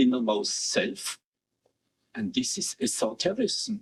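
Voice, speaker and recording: A man's very slow delivery with vocal fry and very wide pitch swings, in a dry, close sound with no echo. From Switzerland. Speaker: philosopher. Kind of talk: interview answer.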